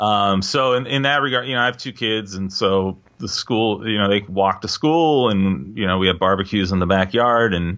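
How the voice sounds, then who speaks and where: Using a fairly low pitch with ordinary pitch variation, a man with a Pacific Northwest accent speaks at a moderate pace. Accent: US Pacific Northwest (General American). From Seattle, US Pacific Northwest. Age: 40s. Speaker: jazz drummer and composer. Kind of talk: casual interview chat.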